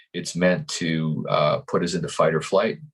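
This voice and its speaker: This is a man speaking with a Canadian accent. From Canada. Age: 50s. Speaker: life coach. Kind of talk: interview. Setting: podcast. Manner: halting, many repetitions.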